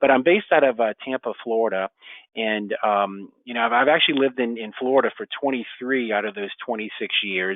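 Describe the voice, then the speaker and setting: At a fairly quick pace, a man with an American accent speaks in a medium pitch with ordinary pitch variation. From New Orleans, US South. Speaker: real estate exchange educator. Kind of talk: webinar presentation. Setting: online webinar. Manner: halting, many fillers.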